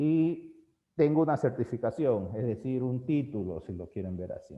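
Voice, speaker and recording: A man talks with an unremarkable speaking voice at a medium pitch. His pace is fairly slow and his intonation lively. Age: 40s. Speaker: teacher. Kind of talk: lecture.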